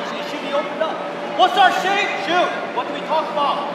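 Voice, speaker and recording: A man's voice amid loud background noise and audible room echo. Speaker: youth soccer coach or parent. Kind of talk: sideline coaching. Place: hall.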